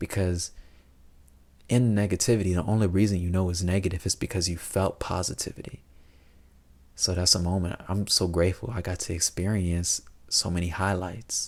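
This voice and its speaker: Soft-spoken and very deep in pitch, a man talks at a moderate pace with fairly even intonation and long, frequent pauses. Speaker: vlogger. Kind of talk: personal reflective monologue. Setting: at home late at night. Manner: soft-spoken, keeping voice down.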